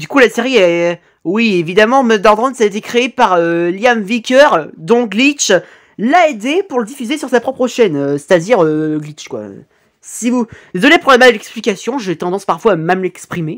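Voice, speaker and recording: Moderate speed on a very clean recording, the background completely silent. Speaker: YouTuber reacting to animations. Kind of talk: reaction video commentary. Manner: animated.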